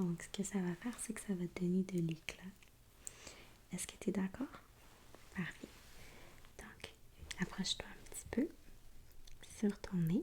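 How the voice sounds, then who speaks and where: A woman speaks at a medium pitch and is soft-spoken. Her pitch varies an ordinary amount. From Quebec. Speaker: ASMR artist. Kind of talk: ASMR makeup roleplay.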